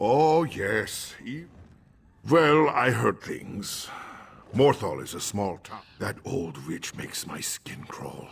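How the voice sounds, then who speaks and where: Someone does a put-on character voice at a very slow pace. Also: man, medium pitch for a man. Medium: video game. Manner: jumpy.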